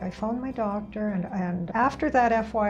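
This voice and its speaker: Music plays in the background. Over it, a woman talks at a fairly high pitch. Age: 70s. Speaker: chiropractic patient giving testimonial. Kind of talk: testimony. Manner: halting, with frequent repetitions.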